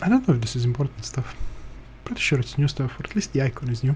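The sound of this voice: A man talks at a fast pace with big pitch swings. His tone is slightly mellow. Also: medium pitch for a man.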